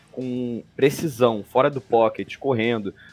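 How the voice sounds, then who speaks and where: Over background music, a man speaks at a medium pitch and a fairly slow pace. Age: 20s. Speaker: NFL podcast panelist, Bengals fan. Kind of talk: sports analysis chat.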